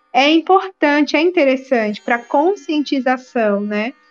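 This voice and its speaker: A woman's high-pitched voice at a moderate pace, in a dry, close sound with no echo. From Brazil, Alagoas (Maceió). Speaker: naturologist and clay therapist. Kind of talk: interview.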